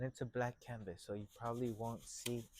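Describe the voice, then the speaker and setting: A man talks quietly at a moderate pace. His pitch is medium. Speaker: painting instructor. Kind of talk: tutorial. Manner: loud; trying to speak more quietly.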